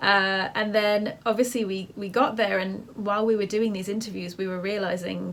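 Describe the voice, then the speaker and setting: A woman with a British accent speaks in a monotone, flat intonation. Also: medium pitch for a woman, moderate pace, hardly any pauses. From England. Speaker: filmmaker and photographer. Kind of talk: interview.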